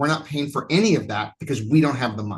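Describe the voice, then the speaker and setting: Somewhat breathy, the man's voice carries. His intonation is lively. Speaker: college instructor. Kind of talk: online lecture. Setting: online class from home. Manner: fast. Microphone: new laptop setup.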